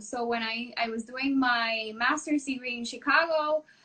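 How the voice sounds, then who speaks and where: A woman's high-pitched, bright and sharp voice in a Spanish accent, fairly slow, with ordinary pitch variation. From Puerto Rico. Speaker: renal dietitian. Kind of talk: casual chat.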